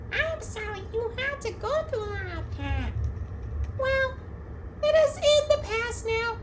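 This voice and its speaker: This is a put-on character voice, squeaky and extremely high in pitch. It moves at a fairly slow pace with long, frequent pauses over noticeable background noise. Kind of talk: campfire horror storytelling. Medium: machinima.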